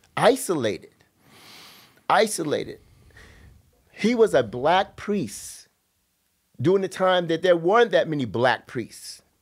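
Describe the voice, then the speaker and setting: Speaking at a moderate pace with long, frequent pauses, a man uses a high pitch and lively intonation. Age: 70s. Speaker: former military academy cadet. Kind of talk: interview.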